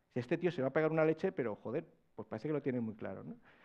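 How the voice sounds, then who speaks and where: The background is quiet. A man with a fairly high pitch speaks very fast. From Spain. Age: 40s. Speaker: personal branding consultant; conference speaker. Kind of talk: conference talk. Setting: stage with audience. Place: hall. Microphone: lapel.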